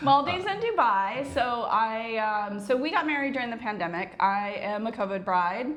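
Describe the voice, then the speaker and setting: With an American accent, a woman talks at a moderate pace and fairly high pitch, her intonation lively and hardly any pauses, amid audible room echo and noticeable background noise. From United States. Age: 40s. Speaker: retired business owner, vlogger. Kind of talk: casual chat.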